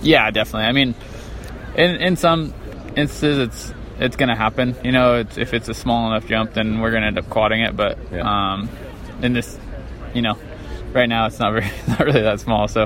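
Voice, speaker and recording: Over noticeable background noise, a man with a medium pitch talks at a fairly quick pace, using ordinary pitch variation and long, frequent pauses. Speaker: racer. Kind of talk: interview. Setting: at race track in Phoenix.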